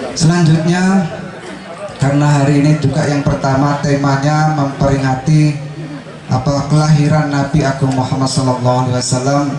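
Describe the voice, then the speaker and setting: A man talks at a fairly quick pace in a monotone, flat intonation with very even loudness. There is noticeable background noise and audible room echo. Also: fairly high pitch for a man. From Indonesia, Tembilahan, Riau. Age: 30s. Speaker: Islamic preacher. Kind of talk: sermon. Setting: religious gathering with live audience.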